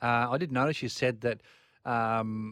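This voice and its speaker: A normal speaking voice from a man of medium pitch with fairly even intonation, dry and close with no echo, on a very clean recording with a silent background. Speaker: motorsport commentator co-host. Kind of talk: casual motorsport analysis.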